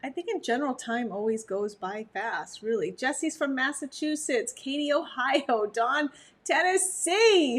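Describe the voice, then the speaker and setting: A high-pitched woman, animated in tone, with lively intonation. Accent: American. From Montana, near Canadian border. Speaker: dog breeder and trainer. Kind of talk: livestream talk.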